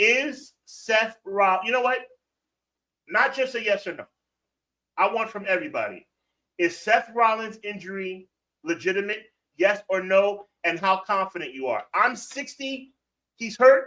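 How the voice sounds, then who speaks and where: A man's high, raised and projected voice has a bright, sharp tone, big swings in loudness, and long, frequent pauses. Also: ordinary pitch variation, fairly slow pace. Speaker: wrestling podcast host. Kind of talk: live stream chat with viewers. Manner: casual, animated.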